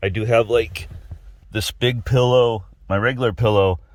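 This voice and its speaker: Somewhat breathy, a man speaks at a medium pitch with an American accent. The recording is very clean, with a silent background. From Texas. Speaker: automotive and outdoors YouTuber. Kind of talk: product review vlog. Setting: inside a truck cab. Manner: casual, conversational.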